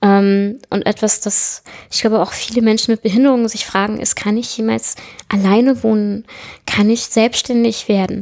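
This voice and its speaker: A woman talks at a moderate pace in a fairly high voice. Her intonation is monotone and flat. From southern Germany, small town. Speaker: web developer. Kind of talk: interview. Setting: at her home.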